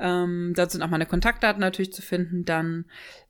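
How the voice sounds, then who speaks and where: On a very clean recording with a silent background, a woman with an ordinary speaking voice talks at a moderate pace and a fairly low pitch. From western Germany, Vordereifel (Rhineland-Palatinate). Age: 30s. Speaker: choir singer and event manager. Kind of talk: interview.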